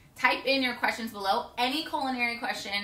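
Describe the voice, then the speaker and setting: Audible room echo surrounds a woman talking at a fairly quick pace with ordinary pitch variation. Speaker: home cooking show host. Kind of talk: cooking show intro, casual. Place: kitchen. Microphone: camera far.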